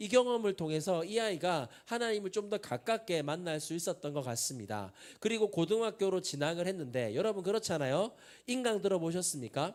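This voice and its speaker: A man with a strong Busan accent speaks at a high pitch. He talks fairly quickly with lively intonation. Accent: strong Busan (Gyeongsang) dialect. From Busan, South Korea. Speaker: pastor, youth prayer movement leader. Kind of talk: sermon. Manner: conversational, engages audience with questions.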